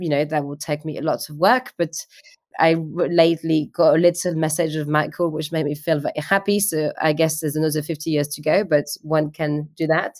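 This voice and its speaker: In a very clean recording with a silent background, a woman with a very deep, low pitch speaks in a French accent at a moderate pace, her intonation fairly even. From France. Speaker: art agency founder. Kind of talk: interview.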